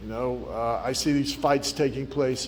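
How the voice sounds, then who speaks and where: A man talks at a medium pitch, his pitch varying in an ordinary way, and the room gives off audible echo. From Bahamas (Nassau). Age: 60s. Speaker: politician. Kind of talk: speech to students. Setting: community centre hall with audience.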